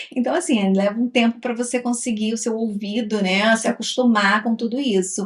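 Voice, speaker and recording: Noticeable background noise behind a fairly high female voice with ordinary pitch variation. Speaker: travel vlogger. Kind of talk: casual chat.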